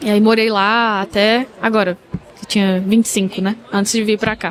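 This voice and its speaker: A woman speaks at a moderate pace in a fairly high pitch, with monotone, flat intonation. Noticeable background noise is present. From Brazil, interior of Goiás. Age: 20s. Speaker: dentist. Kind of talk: casual interview.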